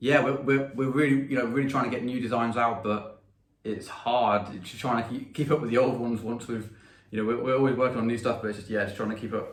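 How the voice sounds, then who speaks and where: Speaking at a very fast pace with an English accent, a man keeps his medium pitch fairly even in intonation, with audible room echo. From England. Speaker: pedal maker and musician. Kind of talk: interview.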